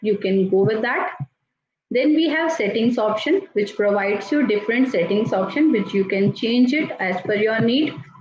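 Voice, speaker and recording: Over light background noise and audible room echo, a woman speaks at a moderate pace in a fairly high pitch, her intonation lively and her loudness very even. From India. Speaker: teacher and tool trainer; teacher, tool trainer. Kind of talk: software tutorial. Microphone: video call.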